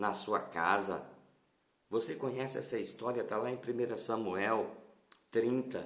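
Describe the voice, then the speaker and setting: Soft-spoken and at a medium pitch, a man talks with fairly even intonation, with audible room echo around him. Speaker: pastor. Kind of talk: sermon. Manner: halting.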